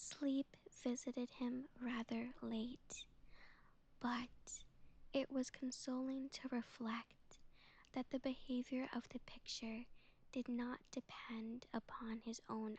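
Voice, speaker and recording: A very slow pace, soft-spoken throughout. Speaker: vtuber. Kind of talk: sleep story.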